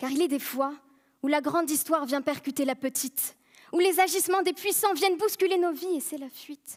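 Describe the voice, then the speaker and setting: A high-pitched woman's voice at a moderate pace. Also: ordinary pitch variation. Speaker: eloquence contest finalist. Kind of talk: competitive speech on stage. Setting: stage, live audience. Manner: humorous, self-deprecating.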